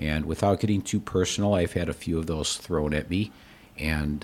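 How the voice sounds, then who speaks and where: This man speaks with an American accent. His pace is moderate and his pitch varies in an ordinary way. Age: 60s. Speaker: retired mental health executive turned gallery owner. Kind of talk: casual interview conversation.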